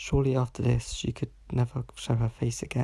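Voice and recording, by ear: A natural voice, reading aloud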